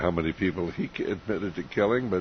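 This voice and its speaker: A man with a very deep, low voice and ordinary pitch variation is heard over noticeable background noise. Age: 70s. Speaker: radio host. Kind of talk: radio interview. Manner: hesitant, many fillers.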